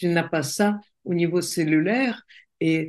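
At a very slow pace and with a Russian accent, a woman speaks in a fairly low voice with ordinary pitch variation against a quiet background. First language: Russian (speaking French). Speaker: coach and entrepreneur. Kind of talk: interview conversation.

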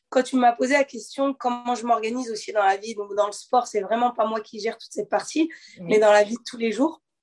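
A woman speaks in a plain, everyday voice, fairly high in pitch and at a fairly quick pace. Her pitch varies in an ordinary way. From Normandy, France (Le Havre). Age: 20s. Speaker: professional boxer. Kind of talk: interview.

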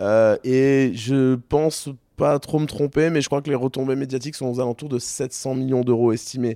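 A man with a dark, mellow tone and medium pitch talks at a moderate pace in monotone, flat intonation, recorded dry and close with no echo. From southern France (Toulon). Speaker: company founder. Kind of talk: interview. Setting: studio.

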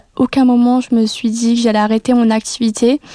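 In a dry, close recording with no echo, a woman speaks in a fairly high voice with a dark, mellow tone and monotone, flat intonation. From France, Metz (Lorraine). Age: 20s. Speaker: student entrepreneur. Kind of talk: personal testimony. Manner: hesitant with fillers and repetitions.

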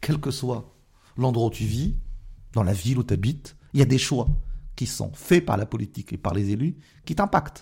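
A man with a somewhat breathy, dark, mellow tone and medium pitch speaks at a moderate pace with lively intonation and long, frequent pauses. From France, Moroccan family background. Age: 40s. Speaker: politician. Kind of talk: interview.

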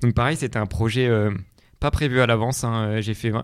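In a very clean recording with a silent background, a man speaks at a moderate pace and medium pitch with fairly even intonation. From France, Vercors (Alps). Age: 20s. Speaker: long-distance hiker and engineer. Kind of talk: interview. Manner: hesitant, many fillers.

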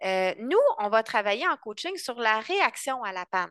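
A woman with a bright, sharp tone and fairly high pitch speaks at a fairly slow pace with very wide pitch swings, recorded against a quiet background with a dry, close sound and no echo. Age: 30s. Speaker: couples coach. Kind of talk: interview.

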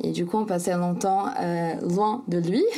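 A woman speaks very slowly in a fairly low voice. Her tone is dark and mellow. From Brazil, São Paulo. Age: 20s. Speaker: sailor and author. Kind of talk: interview. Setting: remote call. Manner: hesitant, many fillers.

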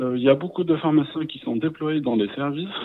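A man's voice with ordinary pitch variation. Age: 20s. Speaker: hospital pharmacy resident. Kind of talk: interview. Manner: halting.

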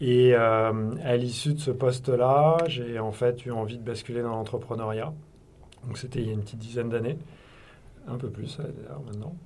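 Somewhat breathy and medium in pitch, a man speaks at a moderate pace with fairly even intonation and long, frequent pauses in audible room echo. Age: 50s. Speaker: company executive. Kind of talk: interview.

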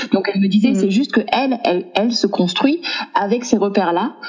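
A woman talks at a moderate pace with lively intonation. Noticeable background noise sits behind her. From southern France, Aix-en-Provence. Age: 30s. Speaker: entrepreneur, single mother. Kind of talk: casual chat. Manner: halting, many repetitions.

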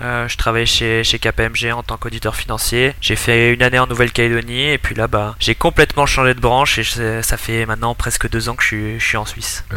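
This man speaks at a fairly quick pace with hardly any pauses. Noticeable background noise runs beneath him. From southern France, Montpellier. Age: 20s. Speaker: digital marketing specialist, fantasy football player. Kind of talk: podcast interview.

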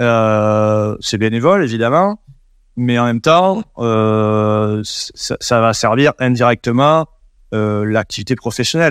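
A man with a southwest French accent talks at a medium pitch. The background is quiet. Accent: southwest French accent, noticeable. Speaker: WordPress developer and agency founder. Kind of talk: interview. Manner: hesitant, many repetitions and fillers.

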